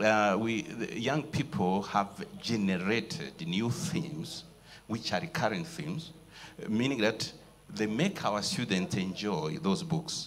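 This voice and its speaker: Over music in the background, a man at a medium pitch speaks at a very slow pace with very wide pitch swings. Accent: Rwandan. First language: Kinyarwanda. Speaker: writer and lecturer. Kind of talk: panel discussion. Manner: halting.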